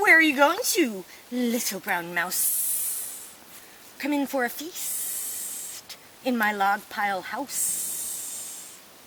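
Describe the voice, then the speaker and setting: Putting on a character voice, a woman speaks at a high pitch and a very slow pace, with hissing and clear background noise. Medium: read story.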